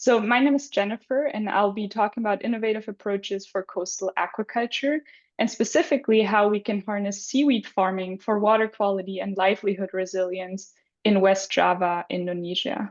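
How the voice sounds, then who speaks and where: A fairly quick voice in a German accent, with ordinary pitch variation and a quiet background. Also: woman, medium pitch for a woman. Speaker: graduate student presenter. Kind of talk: presentation. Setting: video call.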